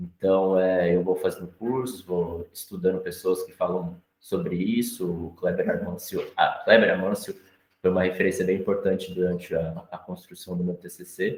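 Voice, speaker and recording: A man at a moderate pace with hardly any pauses. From Brazil, São Paulo. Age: 20s. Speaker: visual artist. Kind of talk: panel talk presenting own work. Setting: live-streamed gallery talk. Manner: halting, many repetitions and fillers.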